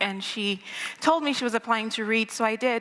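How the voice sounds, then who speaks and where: Over noticeable background noise, a woman talks at a very fast pace with a fairly high pitch and fairly even intonation. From Nigeria, Lagos. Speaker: storyteller. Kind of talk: live storytelling. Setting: stage with audience.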